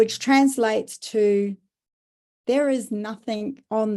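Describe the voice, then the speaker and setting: This woman speaks with an Australian accent. Her pace is fairly slow. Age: 60s. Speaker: business founder and carer advocate. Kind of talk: podcast interview.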